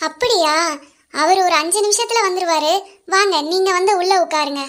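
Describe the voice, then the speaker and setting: Using a cartoonish character voice at an extremely high pitch, a woman speaks at a fairly slow pace with very even loudness. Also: ordinary pitch variation. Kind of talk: puppet show drama.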